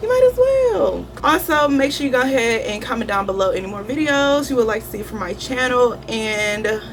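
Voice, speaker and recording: Fairly high female voice, with audible room echo and clear background noise. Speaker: beauty youtuber. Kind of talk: makeup tutorial. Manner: fast.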